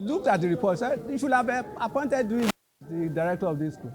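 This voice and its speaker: Against noticeable background noise, a man speaks with very wide swings in pitch. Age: 80s+. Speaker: veteran journalist. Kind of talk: storytelling speech at a celebration.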